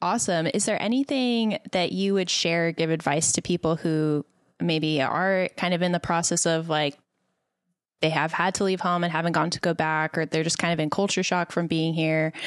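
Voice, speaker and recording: A woman with an American accent, a plain, everyday voice and a fairly low pitch talks at a moderate pace with ordinary pitch variation and very even loudness. The sound is dry and close with no echo, over a quiet background. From El Paso, Texas. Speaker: podcast co-host. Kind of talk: interview.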